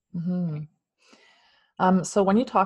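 Somewhat breathy, a woman with a Canadian accent speaks with fairly even intonation against a quiet background. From Ontario, Canada. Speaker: podcast host, Reiki master and spiritual guide. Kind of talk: casual interview chat.

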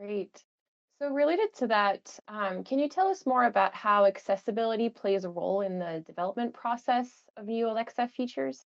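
A woman's fairly high, fairly quick delivery with lively intonation and an unremarkable speaking voice. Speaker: accessibility program manager and interviewer. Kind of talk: interview.

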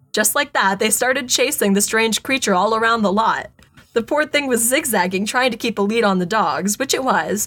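Ordinary pitch variation comes through in an unforced reading voice.

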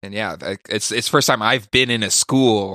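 With an American accent, a man talks in a bright, sharp tone at a fairly low pitch and moderate pace, with ordinary pitch variation. The sound is dry and close with no echo, on a very clean recording against a silent background. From California. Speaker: podcaster. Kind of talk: casual chat. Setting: studio.

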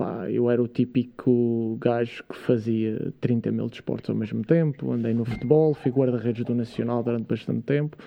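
With hardly any pauses, a man speaks in a plain, everyday voice at a medium pitch, a moderate pace and fairly even intonation. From Madeira, Portugal. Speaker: fitness and science content creator. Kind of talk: casual interview. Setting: studio.

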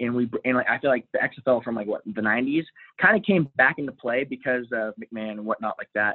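In an American accent, a plain, everyday voice talks with ordinary pitch variation. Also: man, medium pitch for a man, fairly quick pace. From Texas. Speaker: sales worker, fan guest. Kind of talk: casual chat.

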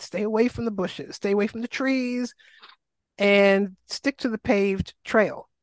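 An American accent with ordinary pitch variation, in a dry, close sound with no echo. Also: woman. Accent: faint New York, stronger back home. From New York City, Queens. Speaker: health and wellness coach, Lyme advocate. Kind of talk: life story interview.

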